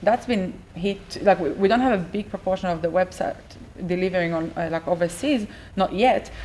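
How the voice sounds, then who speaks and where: Over noticeable background noise, a woman of medium pitch talks at a moderate pace with ordinary pitch variation. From Israel. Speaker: business owner. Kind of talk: interview. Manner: hesitant, with fillers.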